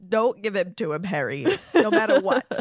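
A man's nasal, high-pitched put-on character voice at a moderate pace

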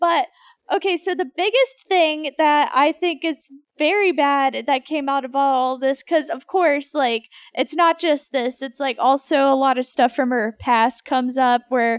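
Speaking at a fairly slow pace, a woman talks in a high pitch. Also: ordinary pitch variation. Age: 20s. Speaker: podcast co-host. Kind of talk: casual chat.

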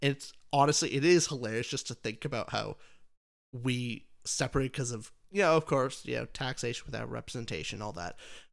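The very clean recording has a silent background, with a man at medium pitch and a moderate pace. Vocal fry runs through his voice, and his pitch variation is ordinary. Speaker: podcast host.

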